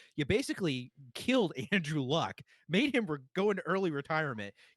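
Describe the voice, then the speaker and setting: On a very clean recording with a silent background and a dry, close sound with no echo, a man with an American accent speaks loudly in an animated tone at a fairly high pitch, with very wide pitch swings. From Boston. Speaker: sports podcast host. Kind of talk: casual chat.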